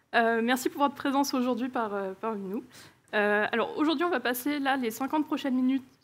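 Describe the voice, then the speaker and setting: A woman's high-pitched voice with ordinary pitch variation, in a very clean recording with a silent background. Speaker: conference speaker, engineering manager. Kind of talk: conference talk. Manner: hesitant, many filler sounds.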